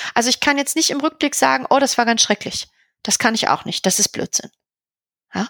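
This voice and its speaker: With a dry, close sound and no echo, a woman talks at a fairly quick pace in a high pitch and a bright, sharp tone, using ordinary pitch variation and long, frequent pauses. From Berlin, Germany. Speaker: veterinarian and practice owner. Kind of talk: podcast interview.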